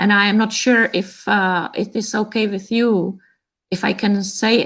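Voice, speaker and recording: Against a quiet background, a woman with a Czech accent speaks at a fairly slow pace in a flat monotone. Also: medium pitch for a woman. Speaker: cellist's sister. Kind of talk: casual chat. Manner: hesitant.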